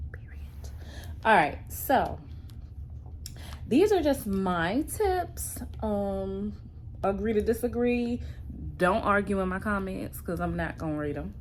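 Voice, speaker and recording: The room echo is audible as a woman speaks at a very slow pace. She takes long, frequent pauses. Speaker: vlogger. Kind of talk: casual vlog talk. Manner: whispering.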